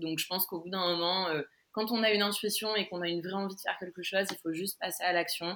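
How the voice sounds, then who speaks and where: In a bright, sharp tone, a woman of medium pitch talks very fast with flat, monotone intonation. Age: 20s. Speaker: online crystal shop owner. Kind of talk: interview. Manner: halting.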